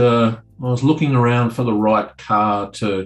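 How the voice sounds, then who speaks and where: A man talks with ordinary pitch variation while faint music plays in the background. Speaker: remote interview guest. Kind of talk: interview answer. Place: office. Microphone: webcam.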